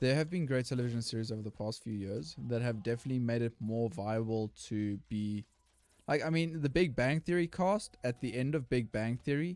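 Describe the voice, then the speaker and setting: A man with a South African accent, medium pitch, lively intonation and a fairly quick pace. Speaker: gaming YouTuber. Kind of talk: casual gameplay commentary.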